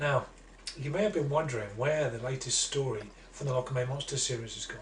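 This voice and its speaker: Against noticeable background noise, a man talks at a very fast pace. His pitch is medium, with ordinary variation. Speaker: children's author. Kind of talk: casual introduction to camera.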